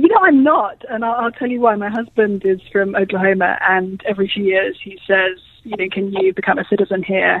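With a British accent and hardly any pauses, a woman speaks at a medium pitch with big swings in loudness. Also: ordinary pitch variation, fairly quick pace. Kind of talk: radio interview.

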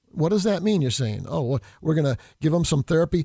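A man with an American accent and lively intonation. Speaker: state legislator and podcast host. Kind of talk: angry partisan rant, fiery political tirade. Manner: indignant, shouting, sarcastic and heated.

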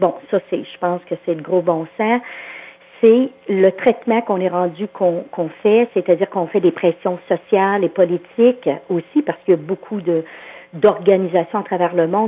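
A woman with a Quebec accent, medium pitch and a fairly slow pace. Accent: Québécois French. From Quebec, farming background. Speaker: agricultural psychologist. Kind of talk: phone interview.

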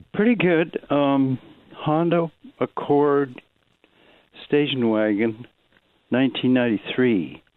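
Speaking at a very slow pace with long, frequent pauses, a man uses a fairly high voice with ordinary pitch variation. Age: old. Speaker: caller. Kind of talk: phone call describing car trouble. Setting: phone call. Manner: halting, hesitant.

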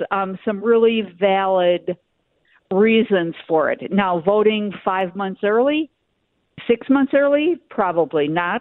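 At a very slow pace, a woman with an American accent and a medium pitch speaks with lively intonation. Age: 70s. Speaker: caller. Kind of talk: casual chat. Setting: phone call.

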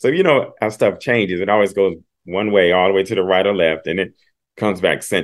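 A man with an American accent talks fairly quickly at a fairly low pitch and with fairly even intonation, in a normal speaking voice. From Ohio, US Midwest. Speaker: comedian and educator. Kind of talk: casual chat.

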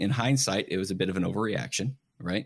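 In a very clean recording with a silent background, a man with an unremarkable speaking voice talks at a fairly low pitch with lively intonation. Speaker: financial advisor. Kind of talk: radio talk show discussion. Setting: radio studio.

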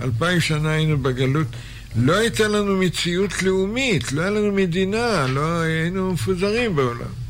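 A man's high-pitched voice with lively intonation, very even loudness, a moderate pace and audible room echo. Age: 70s. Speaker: rabbi. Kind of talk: lecture.

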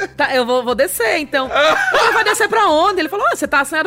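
A woman talks very fast at an extremely high pitch with very wide pitch swings, and noticeable background noise is audible. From Maceió, northeast Brazil. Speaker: comedian. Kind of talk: casual chat. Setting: studio.

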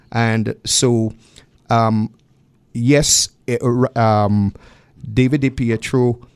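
In a Trinidadian accent, a man speaks at a medium pitch with fairly even intonation. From Trinidad and Tobago. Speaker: political activist. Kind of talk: radio interview. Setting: radio studio. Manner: lilting, melodious.

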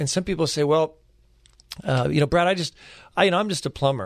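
Speaking at a fairly high pitch with ordinary pitch variation, a man uses an ordinary speaking voice. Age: 50s. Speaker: legal nonprofit founder and lawyer. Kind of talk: radio interview.

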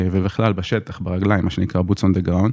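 Dark, mellow tone with fairly even intonation on a very clean recording with a silent background. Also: man. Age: 30s. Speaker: lawyer. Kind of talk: interview. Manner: hesitant, many fillers.

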